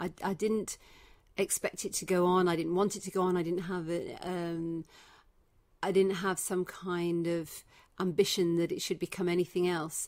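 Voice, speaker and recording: A woman with a Leicester accent, fairly low in pitch, at a moderate pace and in a monotone, flat intonation, on a very clean recording with a silent background. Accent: English (Leicester), kept. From England, Leicester (Midlands). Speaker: breast cancer survivor and charity founder. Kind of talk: interview. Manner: hesitant, many fillers.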